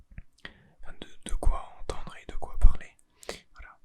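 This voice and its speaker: Speaking in a whisper, a man takes a fairly slow pace. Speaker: ASMR content creator. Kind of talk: ASMR roleplay, secret agent. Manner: whispered, soft-spoken.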